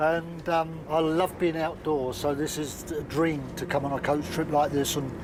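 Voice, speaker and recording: A man's monotone, flat delivery amid noticeable background noise. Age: 60s. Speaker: retired contestant. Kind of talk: self-introduction. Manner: halting.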